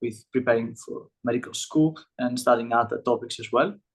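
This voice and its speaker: With a Greek accent, a man speaks using fairly even intonation. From Greece. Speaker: medical student, olympiad alumnus. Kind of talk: panel discussion. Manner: halting, many fillers.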